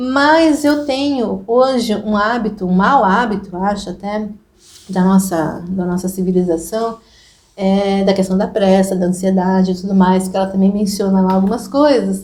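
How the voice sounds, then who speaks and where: Somewhat breathy delivery at a moderate pace, with ordinary pitch variation. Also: woman, medium pitch for a woman. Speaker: Jungian psychotherapist hosting group therapy. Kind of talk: casual talk to an online group.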